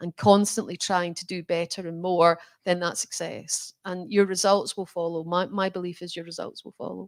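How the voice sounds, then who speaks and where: In a Scottish accent, a woman talks at a moderate pace with fairly even intonation, the sound dry and close with no echo. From Scotland. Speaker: bank chief executive. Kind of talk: interview conversation.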